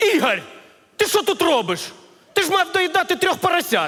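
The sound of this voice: A man does a put-on character voice at an extremely high pitch, with big pitch swings, a fairly bright tone and a moderate pace.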